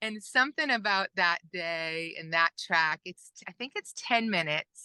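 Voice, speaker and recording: Against a quiet background, a woman speaks at a fairly slow pace and medium pitch with a bright, sharp tone. Her intonation is lively, and the sound is dry and close with no echo. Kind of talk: interview.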